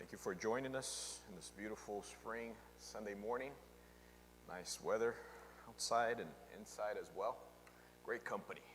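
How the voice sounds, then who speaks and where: Amid audible room echo, a man speaks at a moderate pace with long, frequent pauses and big swings in loudness. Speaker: pastor. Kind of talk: sermon.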